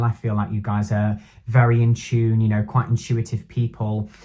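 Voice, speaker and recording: With a dark, mellow tone and a somewhat breathy quality, a man talks at a moderate pace and a medium pitch. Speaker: tarot reader. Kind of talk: tarot reading monologue. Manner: halting, filler-heavy.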